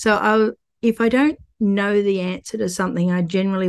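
Against a quiet background, a woman with an Australian accent speaks at a moderate pace with ordinary pitch variation. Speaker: artist and real estate investor. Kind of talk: casual interview chat.

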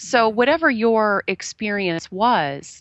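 This woman speaks at medium pitch. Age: 40s. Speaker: life coach. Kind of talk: casual interview. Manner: halting, many fillers.

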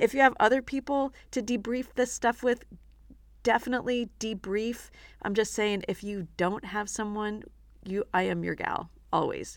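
On a very clean recording with a silent background, a woman speaks in a normal speaking voice at a moderate pace, her pitch fairly high and her intonation fairly even. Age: 60s. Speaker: self-defense instructor and podcast host. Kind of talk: motivational teaching monologue. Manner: warm, conversational.

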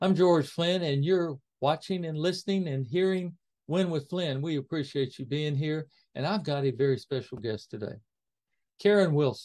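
Against a quiet background, the speaker uses a normal speaking voice at a moderate pace. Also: man, fairly high pitch for a man, ordinary pitch variation. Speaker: podcast host interviewer. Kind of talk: interview conversation.

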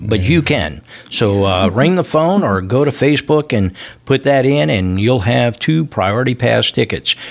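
A man of medium pitch talks at a moderate pace, his voice swinging very widely up and down. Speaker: radio host. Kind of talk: radio dj patter. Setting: radio studio. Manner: warm, jovial, chatty.

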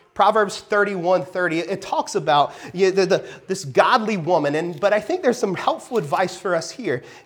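A natural reading voice carries the text, with ordinary pitch variation.

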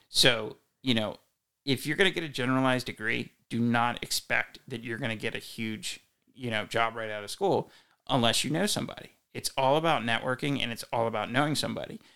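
With a bright, sharp tone, a man talks at a fairly quick pace on a very clean recording with a silent background. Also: medium pitch for a man, ordinary pitch variation. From Delaware, Wilmington area. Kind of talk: casual chat.

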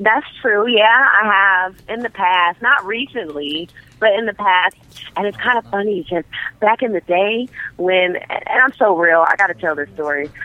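Her voice sits at a medium pitch with ordinary pitch variation as this woman talks at a moderate pace, her loudness swinging widely. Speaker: adult film actress. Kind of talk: casual phone chat. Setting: phone call.

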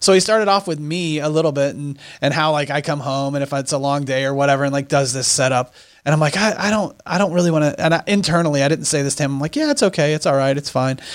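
A man speaks at a very fast pace. His voice is fairly high, with ordinary pitch variation. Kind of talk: casual podcast conversation.

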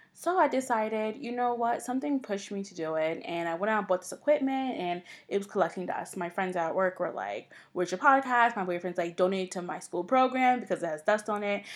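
On a very clean recording with a silent background, a woman talks at a very fast pace with lively intonation and hardly any pauses. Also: medium pitch for a woman. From New York, Long Island. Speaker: podcast host. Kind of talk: solo podcast intro monologue. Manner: casual, with fillers.

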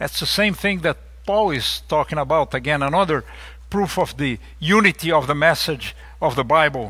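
In a very clean recording with a silent background, a man with a Portuguese accent speaks at a moderate pace in a bright, sharp tone with ordinary pitch variation. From Brazil. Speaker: lay preacher. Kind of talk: sermon. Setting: church.

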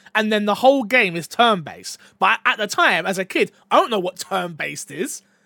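Raised and projected, a man's high-pitched voice moves at a fairly quick pace with an animated tone and lively intonation. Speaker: podcast host. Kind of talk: casual chat.

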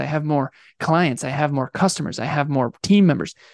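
This man has an unremarkable speaking voice with a fairly high pitch. He talks at a moderate pace with fairly even intonation. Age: 30s. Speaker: business coach. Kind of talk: interview.

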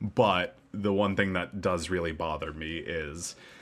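A man speaks here. His pace is fairly slow. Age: 20s. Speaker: podcast co-host. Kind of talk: casual chat.

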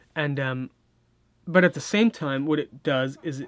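This man has a Californian accent and a fairly high pitch. He speaks at a moderate pace with ordinary pitch variation. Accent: Californian American English. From US West Coast, Orange County, California. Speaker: film composer. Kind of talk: interview. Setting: studio.

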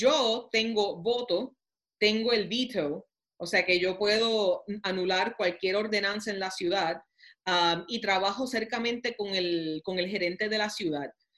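This woman speaks fairly slowly in a medium pitch, with ordinary pitch variation. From Puerto Rico (Toa Baja). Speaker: mayor and congressional candidate. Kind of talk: interview. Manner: halting, many fillers.

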